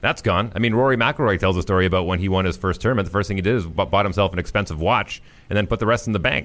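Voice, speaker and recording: The speaker has a Manitoban accent and talks at a very fast pace. Pitch variation is ordinary and loudness stays very even. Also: man, fairly low pitch for a man. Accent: Canadian (Manitoba). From Winnipeg, Canada. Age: 40s. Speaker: morning radio host. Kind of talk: casual chat. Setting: studio.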